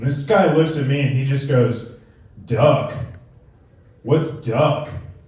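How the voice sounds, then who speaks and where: Speaking very slowly with a strong New England accent, a man with a fairly high pitch and fairly even intonation is heard with audible room echo and noticeable background noise. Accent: pronounced New England. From New England, Connecticut. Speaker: stand-up comedian. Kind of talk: stand-up. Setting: stage with audience at a brewery.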